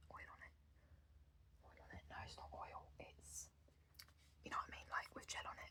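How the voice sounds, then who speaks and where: Someone whispers in an English accent. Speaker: ASMR creator. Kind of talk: casual chat to camera, ASMR. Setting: at home desk. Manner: casual, chatty; quiet, soft-spoken.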